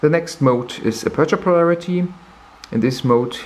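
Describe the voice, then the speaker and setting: A man speaks with a non-native accent. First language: not English. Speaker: camera reviewer. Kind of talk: tutorial. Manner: halting.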